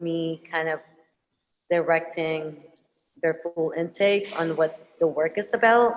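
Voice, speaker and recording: A woman's fairly low-pitched voice with a Filipino accent. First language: Tagalog. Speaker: visual artist, muralist. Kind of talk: panel Q&A answer. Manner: halting, many fillers.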